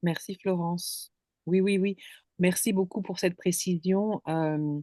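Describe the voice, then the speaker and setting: Dark and mellow, a woman's medium-pitched voice moves at a very slow pace with fairly even intonation. The sound is dry and close with no echo, over a quiet background. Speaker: contemplation guide. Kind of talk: casual chat. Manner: halting.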